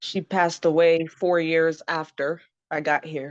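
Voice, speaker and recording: Against a quiet background, a woman with a very deep, low pitch speaks at a moderate pace in a monotone, flat intonation. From Zimbabwe. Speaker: interview guest, political commentator. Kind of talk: interview, personal story.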